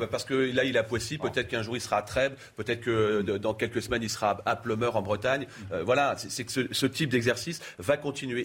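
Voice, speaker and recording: A man races along at a very fast pace, his voice somewhat breathy. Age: 50s. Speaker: mayor. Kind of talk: casual chat. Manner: animated.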